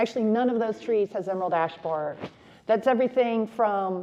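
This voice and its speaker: A woman's ordinary speaking voice at a fairly high pitch, with ordinary pitch variation and a moderate pace. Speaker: city forester, conference speaker. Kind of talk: conference presentation.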